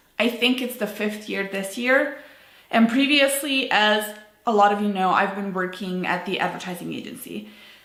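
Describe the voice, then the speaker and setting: The speaker is a woman with a fairly high pitch and ordinary pitch variation. There is audible room echo. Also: moderate pace. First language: not English. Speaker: business owner vlogger. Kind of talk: personal vlog monologue. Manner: unscripted, casual with fillers.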